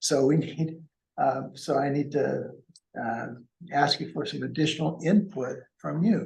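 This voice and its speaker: Amid audible room echo, a man at fairly high pitch speaks at a fairly slow pace with vocal fry, ordinary pitch variation, and long, frequent pauses. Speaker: consultant presenting to a board. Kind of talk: meeting presentation. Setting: council meeting room, also on Zoom. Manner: soft-spoken.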